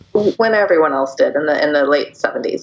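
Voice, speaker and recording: A woman with an American accent keeps a fairly quick pace as noticeable background noise plays behind her. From US Northwest, Seattle. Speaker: PR agency founder. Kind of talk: interview.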